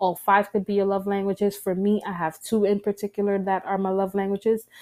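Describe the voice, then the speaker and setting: The speaker has a New York accent, a dark, mellow tone and monotone, flat intonation, talking at a fairly quick pace in a dry, close recording with no echo, very clean and with a silent background. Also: woman, medium pitch for a woman. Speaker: podcast host. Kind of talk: casual talk to listeners. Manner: fast.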